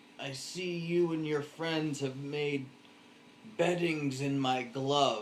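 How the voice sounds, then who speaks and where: In a put-on character voice, a man speaks very slowly at a fairly high pitch against clear background noise. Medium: solo performance.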